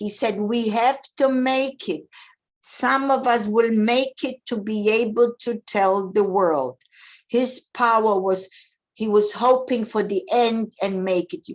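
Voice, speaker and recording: A woman at a very slow pace, with a fairly high pitch and ordinary pitch variation, against a quiet background. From Eastern Europe. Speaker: Holocaust survivor. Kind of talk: testimony. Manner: halting.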